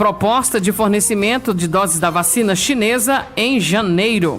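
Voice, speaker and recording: The delivery is fairly slow, with music behind it. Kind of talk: radio news bulletin read.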